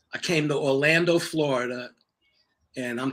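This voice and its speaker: Here a man talks with fairly high pitch and fairly even intonation. He keeps a moderate pace. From New York (Harlem). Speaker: acting coach. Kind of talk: interview. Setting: live stream.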